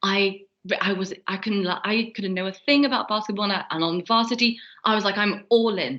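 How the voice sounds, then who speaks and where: A woman's medium-pitched voice, bright and sharp in tone, at a moderate pace. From France. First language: French. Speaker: student election candidate. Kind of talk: interview. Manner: casual, many fillers.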